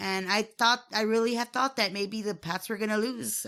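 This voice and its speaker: A woman talks fairly quickly at a fairly high pitch with fairly even intonation, in an unremarkable speaking voice. Her very clean recording has a silent background. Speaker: podcast co-host. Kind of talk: casual sports chat.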